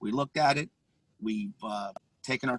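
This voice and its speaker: A man speaks at a medium pitch, his voice captured dry and close with no echo. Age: 50s. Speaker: police officer. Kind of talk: panel discussion. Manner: halting.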